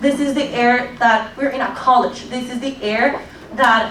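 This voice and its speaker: A woman speaks at a high pitch with fairly even intonation. Noticeable background noise and audible room echo fill the recording. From Colombia. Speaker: public commenter, recent graduate. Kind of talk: public hearing testimony.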